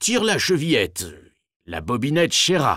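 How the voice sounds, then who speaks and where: A man growls in a put-on character voice, fairly high in pitch. He keeps a moderate pace. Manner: softened, coaxing, feigning gentleness.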